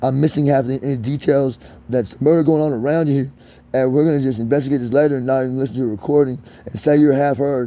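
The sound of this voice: At a fast pace, a man speaks with a dark, mellow tone, a medium pitch and fairly even intonation.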